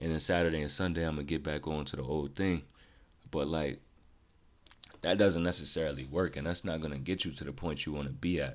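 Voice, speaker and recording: With vocal fry and a very deep, low pitch, a man talks at a fairly quick pace using fairly even intonation. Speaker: podcast host. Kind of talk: casual solo podcast monologue. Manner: monotone; casual, positive, conversational.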